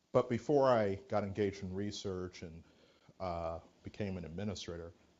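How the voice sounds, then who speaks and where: Loudness swings widely as a man talks at a moderate pace. His voice is fairly low, with ordinary pitch variation. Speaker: physician. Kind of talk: speech. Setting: auditorium.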